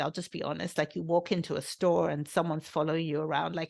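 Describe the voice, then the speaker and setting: A woman talks in a British accent. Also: quiet background. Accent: British undertones. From England, London, UK-raised. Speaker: podcast host. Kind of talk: solo podcast talk. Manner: conversational, with fillers.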